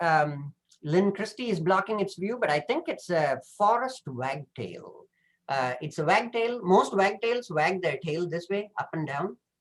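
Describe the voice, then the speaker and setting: A high-pitched man with a Tamil accent at a moderate pace. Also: lively intonation. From southern India. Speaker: professor. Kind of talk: presentation. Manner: hesitant, many fillers.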